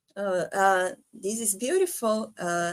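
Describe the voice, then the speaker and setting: A very slow pace in a Brazilian accent. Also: woman. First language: Portuguese. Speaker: podcast host. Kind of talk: interview. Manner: halting.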